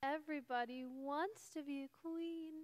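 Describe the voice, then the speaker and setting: This is a put-on character voice pitched high. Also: moderate pace. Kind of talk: stage play acting. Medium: stage play. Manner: snippy, sarcastic.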